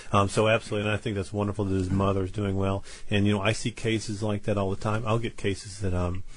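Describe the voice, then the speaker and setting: A man talks very fast with hardly any pauses, his fairly low, somewhat breathy voice flat and monotone. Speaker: Chinese medicine practitioner. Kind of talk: radio call-in chat. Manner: halting, repeats words.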